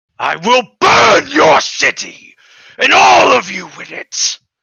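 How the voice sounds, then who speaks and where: Speaking at a fairly slow pace, a man uses a put-on character voice. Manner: menacing, threatening.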